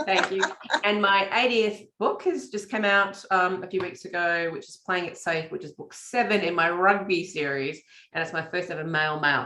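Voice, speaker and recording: At a moderate pace, a woman speaks at a medium pitch with ordinary pitch variation and big swings in loudness. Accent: Australian. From Australia. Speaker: romance author. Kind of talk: casual chat. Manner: hesitant with fillers.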